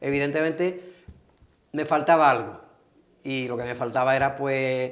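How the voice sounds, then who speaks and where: A man speaks at a moderate pace with fairly even intonation and a fairly high pitch. There is audible echo in the room. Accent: Andalusian. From Andalusia, Spain. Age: 60s. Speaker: pastor. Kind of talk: TV interview.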